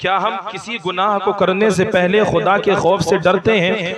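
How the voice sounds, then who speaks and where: A high-pitched man in a flat monotone, against noticeable background noise. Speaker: Islamic preacher. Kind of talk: religious sermon.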